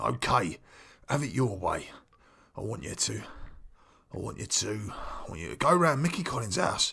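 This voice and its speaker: A man does a put-on character voice that is raspy and medium in pitch, moving at a moderate pace with long, frequent pauses and big swings in loudness. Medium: comedy sketch. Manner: blunt, menacing.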